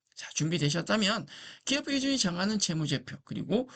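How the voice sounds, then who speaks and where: The speaker is male. His voice leaps across a very wide pitch range. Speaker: accounting lecturer. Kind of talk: lecture.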